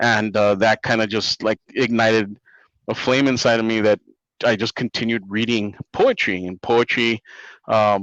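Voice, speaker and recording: At a fairly slow pace, a man with a Spanish accent speaks at medium pitch in a dry, close sound with no echo and a quiet background. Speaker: comic book writer. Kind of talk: interview. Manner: hesitant, many fillers.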